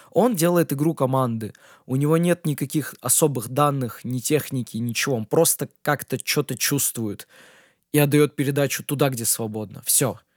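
This is an ordinary speaking voice at a moderate pace. Its pitch variation is ordinary. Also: man, fairly high pitch for a man. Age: 20s. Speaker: DJ and music producer. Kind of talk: solo Q&A podcast. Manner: casual, with filler sounds.

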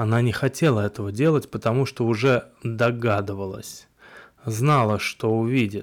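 Reading aloud in a natural voice, the speaker keeps ordinary pitch variation.

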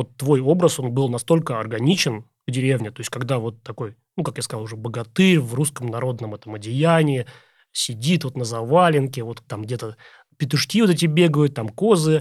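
With a normal speaking voice, a man talks at a moderate pace and medium pitch, his pitch varying in an ordinary way while his loudness swings widely. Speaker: podcast host. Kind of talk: interview.

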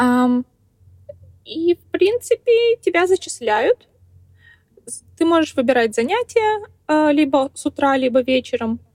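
A woman with a high pitch speaks very slowly, with very wide pitch swings, big swings in loudness and long, frequent pauses, in a dry, close sound with no echo. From Kazakhstan, small town. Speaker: truck driver and blogger. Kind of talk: interview.

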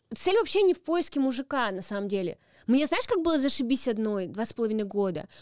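A woman speaks at a very fast pace. Her high voice makes very wide pitch swings. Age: 30s. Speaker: comedian. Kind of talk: casual chat.

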